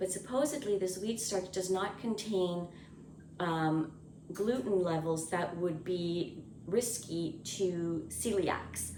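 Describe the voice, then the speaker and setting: Quiet and very even in loudness, a woman with medium pitch speaks very slowly amid noticeable background noise and audible room echo. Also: ordinary pitch variation. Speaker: homesteading cooking vlogger. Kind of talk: casual cooking vlog to camera. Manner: quiet, subdued speaking.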